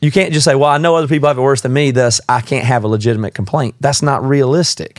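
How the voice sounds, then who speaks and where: A man speaks very fast with an American accent, hardly any pauses, and very even loudness. His pitch is medium, with ordinary pitch variation. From US South. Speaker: podcast guest. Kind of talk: casual chat.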